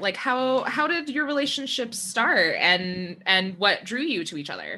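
Raising and projecting her voice, a woman speaks at a fairly slow pace in a bright, sharp tone. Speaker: podcast host. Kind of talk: casual interview chat.

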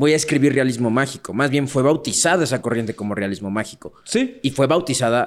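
A man with an ordinary speaking voice talks at a medium pitch and fairly quick pace with hardly any pauses. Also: ordinary pitch variation. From Mexico City. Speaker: podcast co-host. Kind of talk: casual chat.

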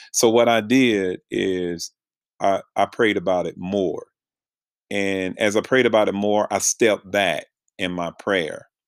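Speaking fairly slowly with fairly even intonation, a man with an American accent and a fairly low pitch uses an ordinary speaking voice in a very clean recording with a silent background. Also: dry, close sound with no echo. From North Carolina. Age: 50s. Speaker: podcast host and pastor.

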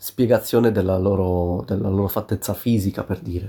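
A man speaks in a dark, mellow tone. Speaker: podcaster. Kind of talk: solo podcast monologue, casual. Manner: halting, many fillers.

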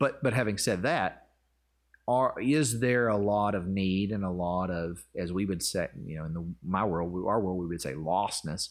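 On a very clean recording with a silent background, a man with a Southern US accent speaks at a moderate pace in a very deep, low pitch with ordinary pitch variation. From US South, Arkansas. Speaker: pastor. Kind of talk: casual chat. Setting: in person.

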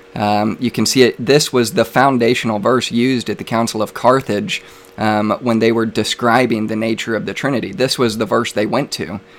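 With hardly any pauses, a man talks at a moderate pace and medium pitch with ordinary pitch variation, and noticeable background noise is present. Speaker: debate host and Trinitarian apologist. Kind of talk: live religious debate. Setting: live stream online.

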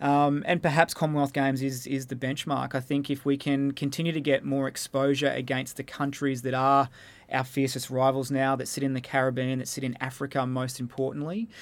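A man with an Australian accent, medium pitch, flat, monotone intonation and hardly any pauses, on a very clean recording with a silent background. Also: fairly quick pace. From Australia, Melbourne. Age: 30s. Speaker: netball coach. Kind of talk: interview. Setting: studio.

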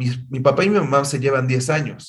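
A fairly high-pitched, somewhat breathy man with a Mexican accent. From Mexico. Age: 50s. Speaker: music industry executive and singer. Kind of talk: interview.

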